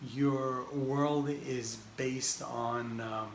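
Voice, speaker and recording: A man talks at a medium pitch with fairly even intonation. The recording has audible room echo and noticeable background noise. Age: 60s. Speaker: spiritual teacher. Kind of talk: talk on spiritual wisdom. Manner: halting, with frequent fillers and restarts.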